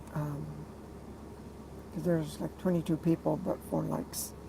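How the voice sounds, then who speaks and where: A woman speaks quietly at a moderate pace. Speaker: truck driver and artist livestreaming. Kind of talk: casual livestream monologue. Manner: quiet, low-pitched delivery; hesitant, many fillers.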